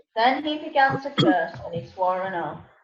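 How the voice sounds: A woman speaks at a moderate pace in a fairly high voice with lively intonation. Room echo is audible.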